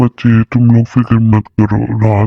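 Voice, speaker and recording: In a cartoonish character voice, a man speaks at a medium pitch and a moderate pace. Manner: calm, fatherly.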